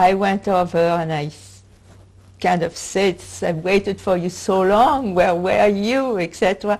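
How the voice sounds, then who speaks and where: On a very clean recording with a silent background, a woman uses an ordinary speaking voice at a medium pitch, with ordinary pitch variation and a fairly slow pace. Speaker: Holocaust survivor. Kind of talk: oral history interview answer.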